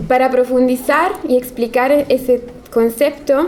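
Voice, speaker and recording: Against noticeable background noise, a woman with an Italian accent speaks at a moderate pace in a high pitch. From Italy. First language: Italian (speaking Spanish). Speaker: architect. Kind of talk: lecture.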